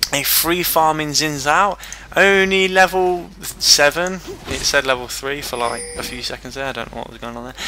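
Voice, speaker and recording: Against music in the background, a man with a fairly high pitch talks with ordinary pitch variation. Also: moderate pace, big swings in loudness. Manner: halting, frequent fillers.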